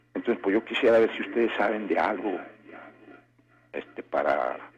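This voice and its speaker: A man talks at a medium tempo, and there is clearly audible noise in the background. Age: 60s. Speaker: radio caller. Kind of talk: phone-in call. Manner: halting.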